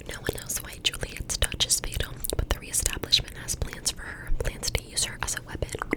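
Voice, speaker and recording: A woman whispers at a fairly quick pace with hardly any pauses. Noticeable background noise sits behind her. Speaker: ASMR creator. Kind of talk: ASMR book reading. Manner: whispered, soft.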